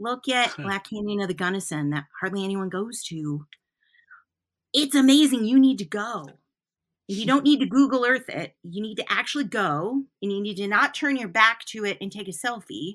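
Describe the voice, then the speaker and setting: Recorded very cleanly against a silent background, a woman with an American accent has an unremarkable speaking voice, pitched fairly high. She keeps a moderate pace, with lively intonation and big swings in loudness. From Flint, Michigan. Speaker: teaching artist. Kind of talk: interview.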